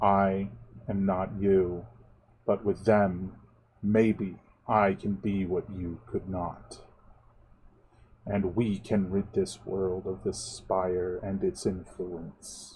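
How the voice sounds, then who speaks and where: In a hissing, put-on character voice, the speaker goes very slowly, with long, frequent pauses. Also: man, very deep, low pitch for a man. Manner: firm, monotone, ending in a pointed hiss.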